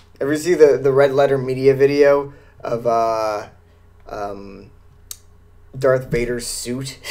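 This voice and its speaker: Speaking at a very slow pace with long, frequent pauses and fairly even intonation, a man is heard amid audible room echo and noticeable background noise. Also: medium pitch for a man. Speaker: podcast host. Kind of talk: casual chat. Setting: live stream. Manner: halting.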